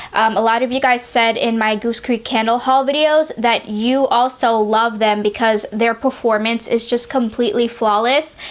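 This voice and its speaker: A woman's flat, monotone delivery at a moderate pace, with very even loudness and hardly any pauses, against noticeable background noise. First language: not English. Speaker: beauty and candle reviewer. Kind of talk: casual product review vlog. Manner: chatty, many fillers.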